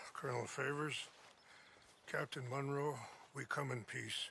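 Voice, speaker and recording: Putting on a character voice, a man speaks at a moderate pace with fairly high pitch, a raspy, calm tone and monotone, flat intonation. Background noise is clearly audible. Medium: video game. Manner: calm, measured.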